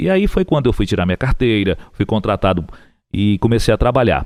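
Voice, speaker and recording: This man's pitch swings very widely as he moves along at a fairly quick pace. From Piauí, Brazil. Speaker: radio broadcaster and TV booth announcer. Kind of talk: interview answer, casual conversation telling career story.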